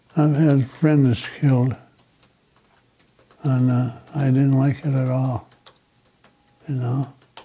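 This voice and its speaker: Very slow and monotone, a man delivers his words with flat intonation and long, frequent pauses. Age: 90s. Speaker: war veteran. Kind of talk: oral history interview. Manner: halting. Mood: reflective, somber memories. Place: office. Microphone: lapel.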